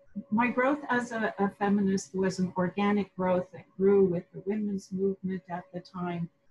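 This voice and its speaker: An unremarkable speaking voice moves at a moderate pace with hardly any pauses and ordinary pitch variation. Its loudness swings a lot, and the sound is dry and close with no echo. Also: woman, medium pitch for a woman. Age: 60s. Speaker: professor. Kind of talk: conference talk. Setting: video call.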